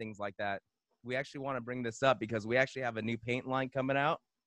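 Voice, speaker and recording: A man talks very fast in a Southern Californian accent. His voice sits at medium pitch with a bright, sharp tone. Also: quiet background. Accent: Southern California American. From Los Angeles, San Gabriel Valley. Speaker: podcast co-host, DJ. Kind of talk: casual chat.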